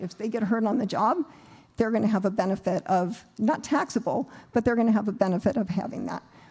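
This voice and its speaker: A woman's dark, mellow, somewhat breathy voice at a very fast pace. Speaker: accountant presenting at seminar. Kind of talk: seminar presentation.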